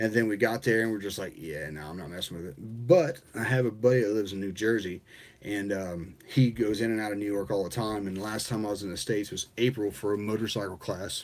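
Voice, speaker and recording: Talking at a very fast pace, a man uses a fairly low pitch with ordinary pitch variation. He speaks with an American accent. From US Midwest, rural southern Indiana near Kentucky and Ohio. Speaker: hobbyist streamer, 3D printing. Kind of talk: casual live-stream chat. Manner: casual, halting with fillers.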